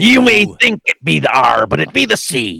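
A man performs in a put-on character voice. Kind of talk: jokey, archaic dialect.

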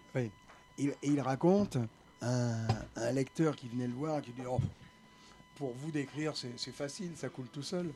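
Soft-spoken and fairly slow, a man talks with long, frequent pauses. His dark, mellow tone sits at a medium pitch with ordinary pitch variation. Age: 70s. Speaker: retired journalist and novelist. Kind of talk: panel discussion. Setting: café studio. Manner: speaks softly.

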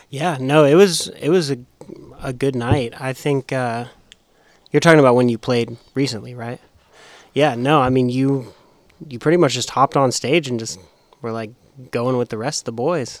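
With an American accent, a man speaks at a moderate pace and medium pitch, with ordinary pitch variation and long, frequent pauses. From Las Vegas, Nevada. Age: 20s. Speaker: podcast producer. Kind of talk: casual chat.

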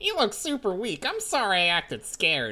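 Someone uses a put-on character voice, fairly high and fairly quick, on a very clean recording with a silent background. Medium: read story. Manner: cowardly, whiny.

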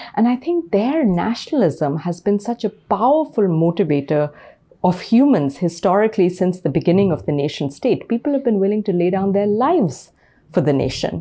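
A woman speaks at a medium pitch with a dark, mellow tone, her pitch swinging very widely at a fairly quick pace while her loudness stays very even. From India. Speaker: political science professor. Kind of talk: lecture; Q&A discussion.

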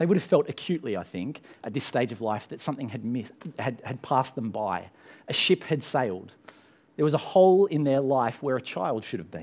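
A man with an Australian accent talks at a fairly quick pace. His pitch swings very widely. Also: medium pitch for a man. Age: 30s. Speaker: pastor. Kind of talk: sermon. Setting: church.

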